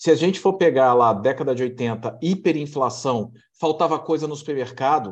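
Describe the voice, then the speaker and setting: Against a quiet background, an unremarkable speaking voice goes at a moderate pace, with ordinary pitch variation. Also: man, fairly high pitch for a man. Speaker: program host. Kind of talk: casual interview chat.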